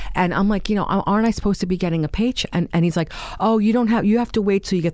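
A woman speaks with a New York accent. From New York, Staten Island. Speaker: formerly homeless woman. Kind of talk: interview testimony. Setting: studio. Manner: halting.

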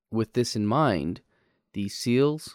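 A man with a normal speaking voice at a fairly slow pace, dry and close with no echo, on a very clean recording with a silent background. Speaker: podcast host. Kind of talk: history podcast narration, scripted and storytelling. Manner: conversational and jokey, with a lightly comic tone.

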